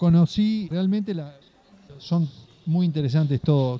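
A man speaks at a moderate pace in a Uruguayan accent. His tone is dark and mellow. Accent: Uruguayan Rioplatense Spanish. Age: 40s. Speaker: cattle farmer and livestock broker. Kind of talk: interview storytelling.

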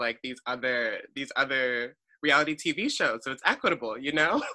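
A plain, everyday voice from a man with an American accent, fairly high in pitch, at a fairly quick pace. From Maryland, US. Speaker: podcast co-host, PhD student. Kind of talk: casual chat.

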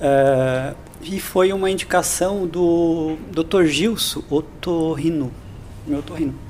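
A man talks at a very slow pace in a high pitch. Noticeable background noise runs behind him. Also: ordinary pitch variation. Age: 50s. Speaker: physical education instructor. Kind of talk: casual interview.

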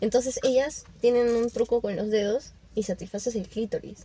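A dark, mellow tone at a moderate pace. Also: woman. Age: young. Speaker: podcast guest. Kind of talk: casual chat.

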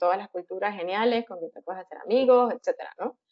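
A woman talks at a fairly quick pace in an ordinary speaking voice. Her pitch is fairly high. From Venezuela, Caracas. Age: 30s. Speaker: software engineer. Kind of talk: casual interview.

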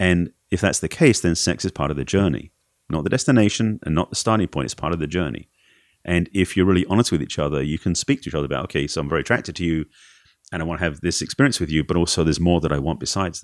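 With an Essex accent, a man talks at a very fast pace in a very deep, low voice with ordinary pitch variation, the sound dry and close with no echo and the recording very clean over a silent background. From England, Essex. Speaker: relationship coach. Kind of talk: interview.

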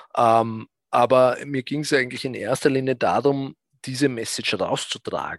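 The sound is dry and close with no echo as a man speaks at a moderate pace in a medium pitch with fairly even intonation. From Austria, south of Vienna. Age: 40s. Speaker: fund manager. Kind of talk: interview. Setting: remote live stream from office. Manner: halting, many fillers.

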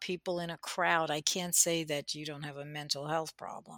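A woman speaks with an American accent and a bright, sharp tone. The recording is very clean and dry, with a close sound, no echo and a silent background. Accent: slight New Jersey accent, usually suppressed. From New Jersey. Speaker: podcast co-host. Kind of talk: casual chat.

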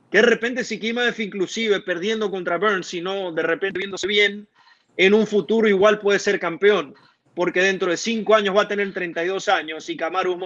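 Keeping his intonation fairly even, a man with a high pitch talks at a moderate pace. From Venezuela, Maracaibo. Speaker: MMA journalist. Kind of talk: live-stream sports discussion.

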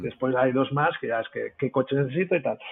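His pace is very fast. The man's pitch rises and falls in an ordinary way. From Spain. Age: 40s. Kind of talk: casual interview chat. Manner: animated, swears a lot.

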